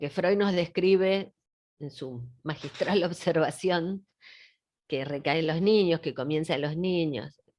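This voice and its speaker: Over a quiet background, a woman with a fairly low pitch speaks very slowly, leaving long, frequent pauses. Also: ordinary pitch variation. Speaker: psychoanalyst lecturer. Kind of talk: lecture. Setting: video call.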